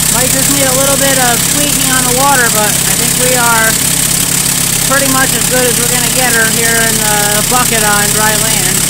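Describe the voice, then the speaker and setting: Loud background noise sits behind speech at a moderate pace. The sound itself is dry with no echo. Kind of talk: casual vlog chat. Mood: satisfied. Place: garden. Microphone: phone near.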